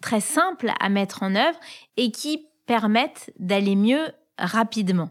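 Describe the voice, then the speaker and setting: A woman with a plain, everyday voice, fairly high in pitch, with lively intonation. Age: 40s. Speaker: podcast host. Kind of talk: casual chat.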